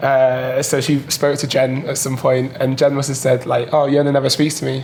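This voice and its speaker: Amid noticeable background noise, a man with a medium pitch speaks in a flat monotone at a moderate pace. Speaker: diver. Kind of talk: casual chat.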